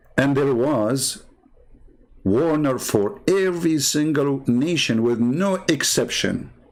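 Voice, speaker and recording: A man talks at a very slow pace, his fairly high voice kept at very even loudness yet lively in intonation. Audible room echo and noticeable background noise surround him. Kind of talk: polemical livestream commentary. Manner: sarcastic, mocking.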